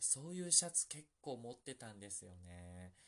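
Lively intonation and a bright, sharp tone. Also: man. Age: 40s. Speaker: podcast host. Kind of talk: casual solo chat. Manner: soft-spoken.

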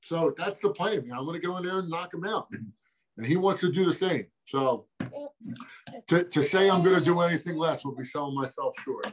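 At a moderate pace, a man with a high pitch speaks with ordinary pitch variation and long, frequent pauses. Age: 30s. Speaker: MMA fighter. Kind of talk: interview. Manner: casual, animated.

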